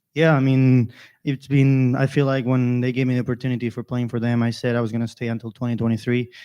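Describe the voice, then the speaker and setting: In a Spanish accent, the speaker talks very fast in a dark, mellow tone with monotone, flat intonation. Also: man, medium pitch for a man, quiet background. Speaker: college golfer. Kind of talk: interview.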